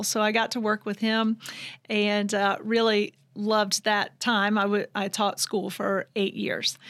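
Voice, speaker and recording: Here a woman speaks at a fairly high pitch and a moderate pace. The recording is very clean, with a silent background. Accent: Southern US. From US South, Georgia (Vidalia). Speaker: fitness trainer and business owner. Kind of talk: interview.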